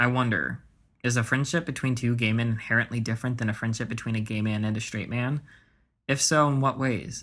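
An unremarkable speaking voice from a man, medium in pitch with fairly even intonation, at a fairly quick pace in a very clean recording with a silent background. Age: 20s. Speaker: podcast host. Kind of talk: scripted narration.

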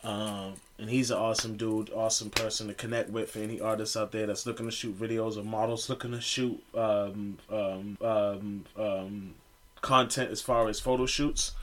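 A man at a moderate pace, with monotone, flat intonation. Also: medium pitch for a man. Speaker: musician and clothing brand owner. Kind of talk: casual interview chat. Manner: relaxed, slangy.

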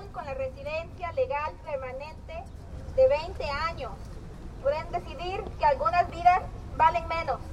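A woman speaks at an extremely high pitch with very wide swings in pitch and big jumps in loudness. Her pace is moderate, and background noise is noticeable. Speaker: Spanish interpreter. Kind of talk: consecutive interpreting of a rally speech into Spanish. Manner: projecting, steady, mirroring the speaker's urgency.

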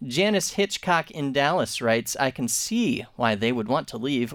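In a normal speaking voice, a man talks at a moderate pace with ordinary pitch variation on a very clean recording with a silent background. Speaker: radio social media segment host. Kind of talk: casual chat. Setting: studio.

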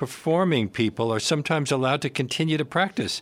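A man with an ordinary speaking voice, medium pitch and lively intonation is heard on a very clean recording with a silent background. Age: 60s. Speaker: radio host. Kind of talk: radio interview. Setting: studio.

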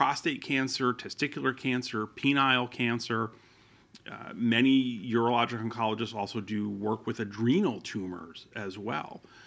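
A man with a medium pitch speaks in an unremarkable speaking voice at a moderate pace with ordinary pitch variation. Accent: American. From northern New Jersey, Passaic County. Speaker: urologic cancer surgeon. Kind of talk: interview.

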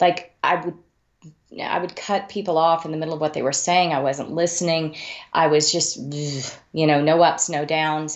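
Speaking with a Texan accent, a woman keeps a moderate pace, a fairly low pitch and fairly even intonation. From Texas Panhandle, Amarillo. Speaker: mystery author. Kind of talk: interview.

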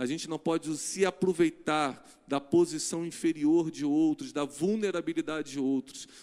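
Recorded very cleanly against a silent background, a man speaks at a fairly slow pace and a fairly high pitch. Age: 40s. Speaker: pastor. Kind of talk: sermon. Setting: church. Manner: animated.

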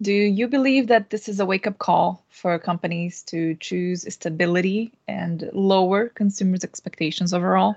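A woman with a Portuguese accent speaks at a moderate pace, her medium-pitched voice following a fairly even intonation. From Brazil. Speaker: game QA tester and streamer. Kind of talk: panel discussion. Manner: hesitant, many fillers.

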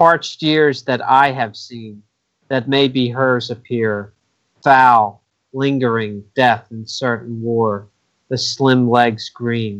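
Delivered at a very slow pace, this man's speech has fairly even intonation and big swings in loudness. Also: medium pitch for a man. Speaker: podcast co-host. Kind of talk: casual chat.

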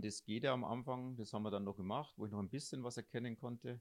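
A man talks at a very fast pace with fairly even intonation over a quiet background. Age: 50s. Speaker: blind runner. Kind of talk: interview. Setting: three people sharing one handheld mic.

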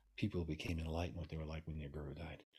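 A man speaks at a very fast pace with a New York accent, his pitch very deep and low. His voice is somewhat breathy, and the recording is very clean with a silent background. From New York City. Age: 70s. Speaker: Taoist master and author. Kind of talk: interview conversation.

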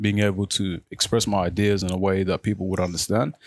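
A man with an Australian accent, fairly low in pitch, talking at a very fast pace in a monotone, flat intonation. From Australia, Melbourne (Footscray), born in Africa. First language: Arabic. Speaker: youth organization treasurer and board member. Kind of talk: interview. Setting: radio studio. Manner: halting, many fillers and repeats.

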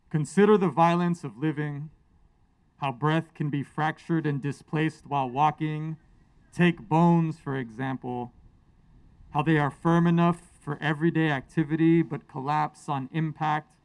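A man with an American accent speaks at a moderate pace in a fairly high pitch with fairly even intonation, in a very clean recording with a silent background. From US West Coast. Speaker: poet. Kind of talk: poetry reading. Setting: outdoors, stage with audience. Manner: loud.

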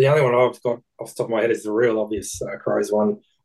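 With an Australian accent, a man talks at a very fast pace in a dark, mellow tone. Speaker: betting podcast co-host. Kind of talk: casual chat.

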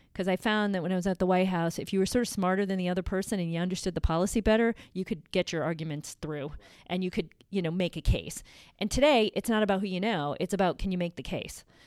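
On a very clean recording with a silent background, a woman at a medium pitch talks at a very fast pace with ordinary pitch variation. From Connecticut (Litchfield County). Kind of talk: interview.

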